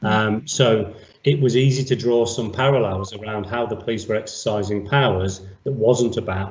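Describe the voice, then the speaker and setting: This man's voice sits at a fairly low pitch and is somewhat breathy. He keeps a moderate pace and fairly even intonation. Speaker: senior police officer. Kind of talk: interview. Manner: formal.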